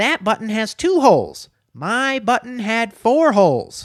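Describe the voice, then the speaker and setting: A man's whiny, put-on character voice at an extremely high pitch and a fairly slow pace, in a very clean recording with a silent background. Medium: read story. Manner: fussy, whiny.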